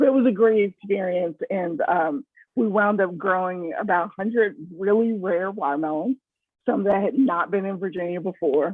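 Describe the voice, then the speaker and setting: Using a normal speaking voice, a woman talks at a moderate pace and medium pitch with ordinary pitch variation. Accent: American. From San Francisco, California. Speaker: food writer. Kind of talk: interview.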